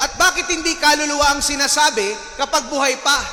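A man's raised, projected voice with a warm tone and an extremely high pitch. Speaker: parish priest. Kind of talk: sermon. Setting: church with congregation. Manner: humorous, warm, interactive.

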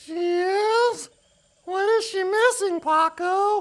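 A cartoonish character voice at an extremely high pitch and a very slow pace. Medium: puppet. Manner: upbeat.

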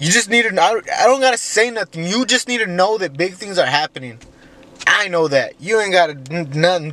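A man's raised, projected voice with lively intonation, a moderate pace and a dry, echo-free sound. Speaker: vlogger. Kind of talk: casual vlog chat. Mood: reflective, grateful, religious. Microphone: phone near.

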